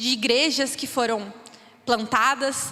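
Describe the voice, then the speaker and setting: A woman speaks in a raised, projected voice at a fairly slow pace. Noticeable background noise sits under her. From Brazil, interior of São Paulo state (Birigui). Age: 20s. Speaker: missionary. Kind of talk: church missions talk.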